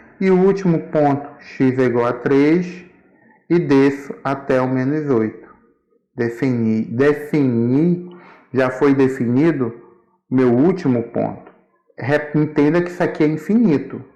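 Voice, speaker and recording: Speaking at a fairly slow pace with long, frequent pauses, a man has a fairly high voice with a dark, mellow tone. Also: ordinary pitch variation. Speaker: school math teacher. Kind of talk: tutorial.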